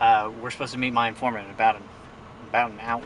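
A man is heard over light background noise. The sound is dry with no echo. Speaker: actor playing an undercover investigator. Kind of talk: mockumentary interview answer. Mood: serious, slightly nervous.

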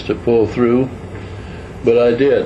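A man's voice against noticeable background noise. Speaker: retired truck driver recounting his life. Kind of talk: casual reminiscence / personal storytelling to camera. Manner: slow, conversational, with pauses and hesitations.

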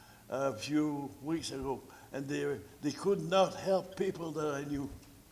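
A man at a fairly high pitch and a fairly slow pace, with ordinary pitch variation, audible room echo and noticeable background noise. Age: 80s+. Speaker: senior citizen delegate presenting to council. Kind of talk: public delegation at council meeting. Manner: halting, repetitive.

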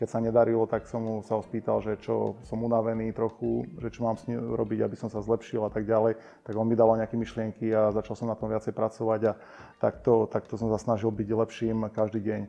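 Speaking at a fairly quick pace, a man delivers his words in a monotone, flat intonation. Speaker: interview guest. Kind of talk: interview answer. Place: studio.

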